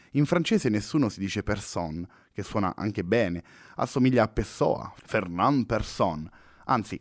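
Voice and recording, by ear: Lively intonation, read aloud in a natural voice.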